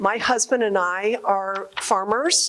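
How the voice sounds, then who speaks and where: A woman speaks at a very slow pace. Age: 60s. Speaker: congresswoman and farmer. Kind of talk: public remarks at a listening session. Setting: agricultural show hall with audience.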